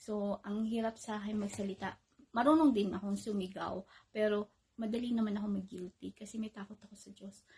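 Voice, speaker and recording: Soft-spoken and fairly high-pitched, a woman talks at a fairly quick pace with fairly even intonation and a dark, mellow tone. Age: 30s. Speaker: vlogger. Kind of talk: casual vlog monologue. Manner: louder than usual. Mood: calm, reflective personal story. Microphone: phone near.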